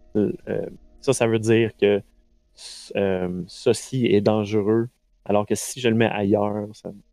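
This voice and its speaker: Over music in the background, a man talks at a very slow pace with long, frequent pauses and fairly even intonation. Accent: Quebec. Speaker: game master running a tabletop role-playing stream. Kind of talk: tabletop role-play narration and live game chat. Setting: live stream online. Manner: halting, many fillers and repetitions.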